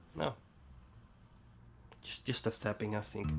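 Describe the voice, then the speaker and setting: Over music in the background, a man speaks with a Dutch accent. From Netherlands. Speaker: bass tutorial youtuber. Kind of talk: tutorial. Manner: halting.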